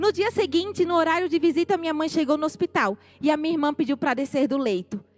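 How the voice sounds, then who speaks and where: A woman in a northeastern Brazilian accent, with lively intonation and a fairly quick pace. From Brazilian Northeast, Natal, Rio Grande do Norte. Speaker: missionary. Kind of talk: church testimony.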